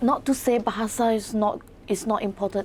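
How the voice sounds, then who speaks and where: A woman speaks with a Mandarin accent, her pitch fairly high and her intonation fairly even. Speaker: author and English lecturer. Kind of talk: interview. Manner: halting, with repetitions.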